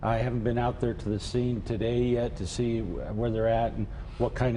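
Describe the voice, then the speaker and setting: A man speaks at a moderate pace and medium pitch. Audible room echo surrounds his voice. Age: 60s. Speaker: mayor. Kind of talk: TV news interview. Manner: halting, many fillers.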